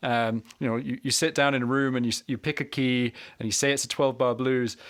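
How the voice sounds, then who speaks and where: A man at a medium pitch, talking at a fairly quick pace. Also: very clean recording, silent background. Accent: Scottish. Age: 30s. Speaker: harmonica teacher and podcast host. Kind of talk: casual interview chat.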